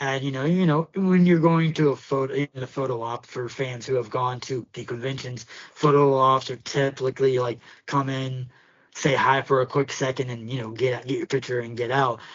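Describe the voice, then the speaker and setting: Noticeable background noise sits behind a man of medium pitch speaking at a moderate pace with a Pittsburgh accent and fairly even intonation. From Pittsburgh, US. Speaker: podcast co-host. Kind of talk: casual chat. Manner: halting, many fillers.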